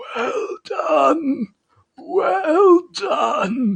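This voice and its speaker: A raspy, extremely high-pitched put-on character voice. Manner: polite, applauding.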